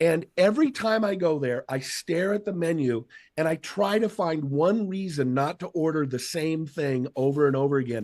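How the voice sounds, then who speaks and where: A man with an American accent and a plain, everyday voice, fairly high in pitch, with lively intonation at a fairly slow pace. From Seattle, US Pacific Northwest. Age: 50s. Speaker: motivational speaker. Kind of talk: casual chat.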